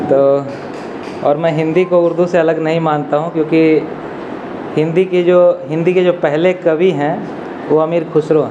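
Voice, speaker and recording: Long, frequent pauses break up monotone, flat speech with very even loudness, heard through audible room echo and noticeable background noise. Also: man, fairly high pitch for a man. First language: Angika (speaking Hindi). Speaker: academic, Hindi literature scholar. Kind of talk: commemorative speech. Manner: hesitant fillers.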